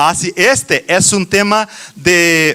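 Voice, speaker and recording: This man has a high pitch and a bright, sharp tone. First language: Portuguese (speaking Spanish). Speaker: children's ministry teacher. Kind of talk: conference talk. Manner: halting, many fillers and restarts.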